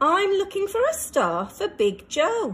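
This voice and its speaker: Squeaky and extremely high-pitched, a woman puts on a character voice at a fairly slow pace. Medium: read story.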